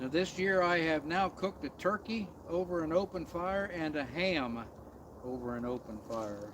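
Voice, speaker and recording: Lively intonation from a man with a high-pitched voice. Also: moderate pace. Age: 60s. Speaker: outdoor camping vlogger. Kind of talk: casual live stream chat. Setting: outdoors in the woods at night.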